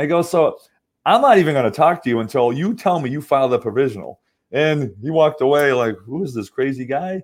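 A man with a plain, everyday voice, fairly high in pitch, fairly quick and lively in intonation. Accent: American. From Massachusetts. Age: 50s. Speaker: medical device engineer and venture investor. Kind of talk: interview. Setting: online call.

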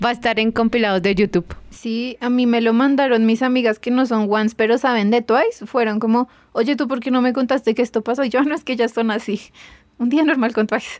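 A woman with an unremarkable speaking voice talks at a fairly quick pace, her fairly high pitch held in fairly even intonation. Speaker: podcast guest, K-pop fan. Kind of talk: casual chat.

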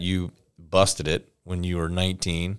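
Over a silent background on a very clean recording, a man with an American accent speaks in a very deep, low voice. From Florida. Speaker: real estate podcast co-host. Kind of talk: casual chat.

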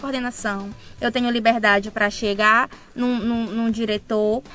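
Her voice is fairly high and has a bright, sharp tone. The woman keeps a moderate pace. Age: 20s. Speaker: physiotherapy student. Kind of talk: radio interview.

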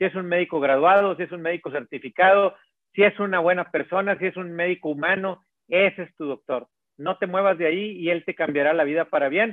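Here a man talks at a fairly quick pace and a high pitch. His pitch varies normally, while his loudness swings widely. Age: 50s. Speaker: cardiologist. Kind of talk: interview.

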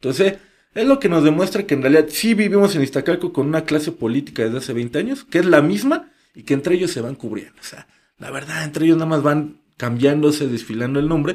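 The speaker is a man with a fairly high pitch and ordinary pitch variation. He talks at a very fast pace. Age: 30s. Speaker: local social media content creator and activist. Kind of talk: interview conversation.

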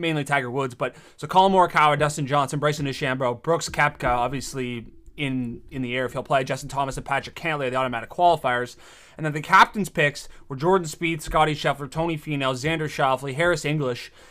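Talking very fast with a Canadian accent, a man has a bright, sharp tone, a fairly high pitch and ordinary pitch variation. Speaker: sports podcast co-host. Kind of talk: casual chat.

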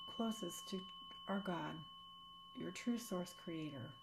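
A woman speaks at a very slow pace in a gentle, soothing tone, with very wide pitch swings. Long, frequent pauses break her speech, and there is noticeable background noise. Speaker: sound healing practitioner. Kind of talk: guided meditation. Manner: slow, soothing, calm; gentle, unhurried, with long pauses.

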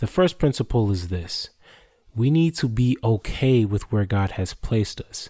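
Somewhat breathy and dark, mellow in tone, the voice moves at a fairly slow pace with lively intonation, in a very clean recording with a silent background. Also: man, medium pitch for a man. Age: 20s. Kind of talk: solo devotional talk.

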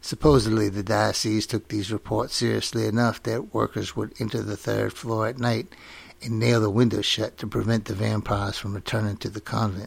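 A man speaks at a fairly quick pace in a fairly low voice, with vocal fry and a flat, monotone delivery. The recording is very clean, with a silent background. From Louisiana Cajun country (Lafayette). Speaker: podcast host, folklore storyteller. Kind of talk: scripted narration.

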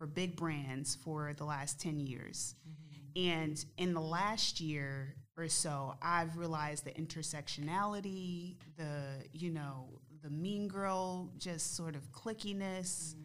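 With an American accent and a very deep, low pitch, a woman speaks at a very slow pace with ordinary pitch variation, and room echo is audible. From New Jersey, Essex County. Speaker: guest, travel business founder. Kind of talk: casual chat.

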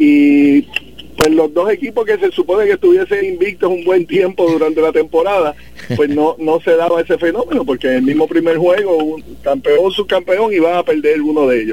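Over noticeable background noise, a man talks at a moderate pace and high pitch, with ordinary pitch variation and very even loudness. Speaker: lawyer and volleyball official. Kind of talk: interview.

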